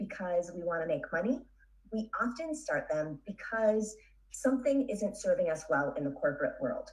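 Against a quiet background, a woman speaks at a moderate pace. Her somewhat breathy voice has very wide pitch swings. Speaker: podcast host, business coach, interview guest. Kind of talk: interview answer. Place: home room. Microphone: studio mic.

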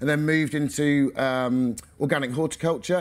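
This man talks with fairly even intonation. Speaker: organic vegetable farmer; speaker. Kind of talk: conference talk. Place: tent.

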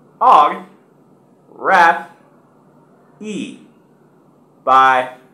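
With an American accent, a man speaks at a very slow pace with lively intonation. His fairly high voice has a bright, sharp tone, and audible room echo surrounds it. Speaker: English teacher. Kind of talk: pronunciation drill. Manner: slow, clear, syllable by syllable. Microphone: webcam.

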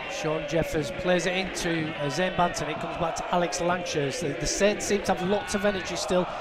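The speech moves at a fairly quick pace with hardly any pauses. Loud background noise runs underneath. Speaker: football match commentator. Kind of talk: live football commentary. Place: stadium.

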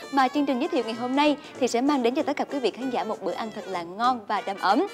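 Clear music plays in the background as a woman talks at a high pitch and a very fast pace. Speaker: TV cooking show host. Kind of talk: TV presenter address to viewers. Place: studio. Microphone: lapel.

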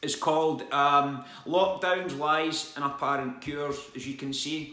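Audible room echo surrounds this man's voice. His intonation stays fairly even. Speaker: vlogger. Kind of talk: casual vlog chat. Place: home room. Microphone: phone near.

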